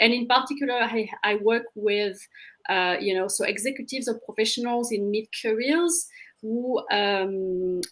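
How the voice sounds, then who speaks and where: A woman in a French accent talks at a moderate pace with a fairly high pitch. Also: ordinary pitch variation. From France. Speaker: career coach. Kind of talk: panel self-introduction.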